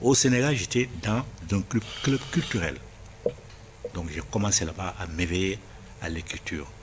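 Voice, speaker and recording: Over noticeable background noise, a man with a very deep, low pitch speaks at a fairly slow pace with lively intonation. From Senegal. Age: 70s. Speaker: writer. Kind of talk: interview.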